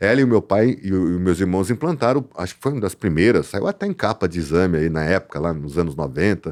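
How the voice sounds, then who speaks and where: A man with a very deep, low pitch talks at a very fast pace with hardly any pauses. His intonation is lively. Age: 50s. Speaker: land development company director. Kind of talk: casual podcast interview.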